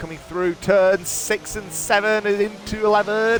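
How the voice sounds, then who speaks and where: Noticeable background noise fills the recording. Over it, a man talks in a high voice. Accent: English. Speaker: sim racing commentator. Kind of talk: live commentary. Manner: hesitant with fillers.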